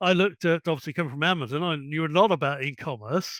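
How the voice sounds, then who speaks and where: A man with an English accent at a fairly quick pace, dry and close with no echo, in a very clean recording with a silent background. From England. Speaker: ex-military tech worker and online store owner. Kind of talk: interview.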